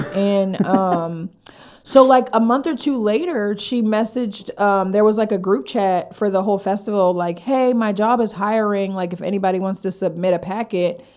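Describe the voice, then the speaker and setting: Speaking in an animated tone, a woman with an American accent uses a medium pitch. Her pace is moderate and her pitch varies in an ordinary way. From Pennsylvania (Harrisburg). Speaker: stand-up comedian and comedy writer. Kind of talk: casual podcast interview. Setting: studio.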